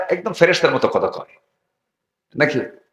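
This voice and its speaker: A man's voice with a bright, sharp tone. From Dhaka, Bangladesh. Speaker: Islamic preacher (waz speaker). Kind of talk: Islamic sermon (waz) at a religious gathering. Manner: interactive, rhetorical questions to audience, storytelling with humor.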